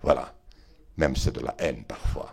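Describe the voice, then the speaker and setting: This is a man talking in a Béarnais accent. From Béarn, southwest France. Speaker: politician, member of parliament. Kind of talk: interview answer. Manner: eloquent, voluble.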